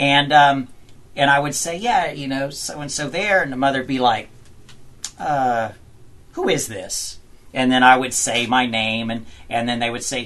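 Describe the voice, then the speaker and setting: In a Southern US accent, the speaker keeps to a moderate pace. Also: man. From US South (Georgia). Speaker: country singer. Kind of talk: interview. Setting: studio.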